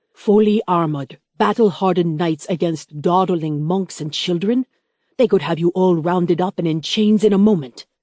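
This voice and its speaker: A woman's put-on character voice, growling at a medium pitch, in a dry, close sound with no echo. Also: moderate pace. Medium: read story. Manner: gruff, growling.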